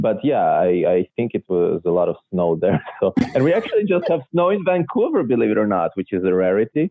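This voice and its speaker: At a fairly quick pace and very even loudness, a man talks in a Russian accent. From Israel, born in Belarus. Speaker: illusionist. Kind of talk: interview. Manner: hesitant, many fillers.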